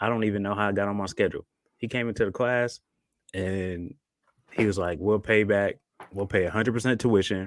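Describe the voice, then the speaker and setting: The voice is soft-spoken, moving at a fairly quick pace with fairly even intonation and long, frequent pauses. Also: man, fairly low pitch for a man. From Buffalo, New York. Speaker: army and air force veteran, co-parenting coach. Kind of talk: podcast interview.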